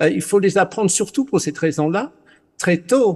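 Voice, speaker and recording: This voice belongs to a man. A non-native accent colors his speech. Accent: foreign accent in French. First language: English (speaking French). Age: 60s. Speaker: panelist. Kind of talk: panel discussion. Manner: halting.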